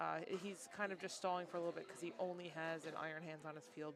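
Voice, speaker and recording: This woman has a fairly low voice. Her pitch varies in an ordinary way. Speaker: livestream commentator for card game matches. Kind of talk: live commentary. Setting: card shop league event, sitting behind player. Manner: loud.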